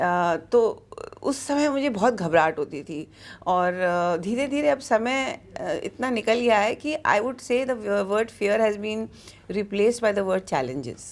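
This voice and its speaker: A woman's ordinary speaking voice, fairly high in pitch with lively intonation, on a very clean recording with a silent background. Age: 60s. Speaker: pediatrician and social worker. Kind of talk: interview. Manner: code-switching Hindi and English.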